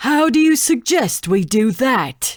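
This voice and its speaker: This female-sounding, put-on character voice is high-pitched and fairly slow, on a very clean recording with a silent background. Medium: read story. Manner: terse, hostile.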